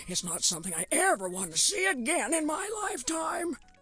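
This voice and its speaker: A woman performs a put-on character voice with very wide pitch swings. Her pace is moderate, and light background noise can be heard. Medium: video game. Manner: rambling, fretful.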